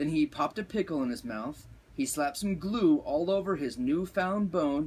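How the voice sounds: Here the voice is a natural reading voice.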